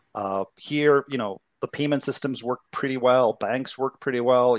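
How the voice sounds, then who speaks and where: A man with a Czech accent speaks at a medium pitch and a moderate pace. The sound is dry and close with no echo, in a very clean recording with a silent background. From Czechoslovakia. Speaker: crypto investment executive. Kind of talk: interview.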